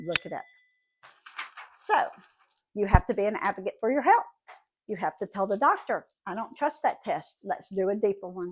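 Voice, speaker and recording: A woman with a Southern US accent speaks with long, frequent pauses. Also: medium pitch for a woman, ordinary pitch variation, moderate pace. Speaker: vlogger. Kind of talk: casual monologue. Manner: animated.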